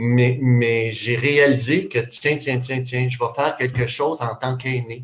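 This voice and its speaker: A man talks at a fairly slow pace in a somewhat breathy voice of medium pitch. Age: 60s. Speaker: retired youth worker. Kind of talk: video call discussion. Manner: halting.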